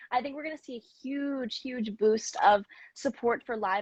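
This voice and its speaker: A woman with a General American accent and a plain, everyday voice, fairly high in pitch with ordinary pitch variation, in a dry, close sound with no echo. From US, Mid-Atlantic. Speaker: singer. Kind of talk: interview answers.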